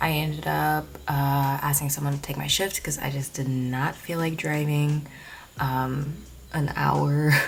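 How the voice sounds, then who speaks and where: Soft-spoken and monotone, a woman with a very deep, low pitch talks at a fairly slow pace amid noticeable background noise and audible room echo. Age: 20s. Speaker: vlogger. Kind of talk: casual vlog chat. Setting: at home at night. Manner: soft-spoken, speaking quietly.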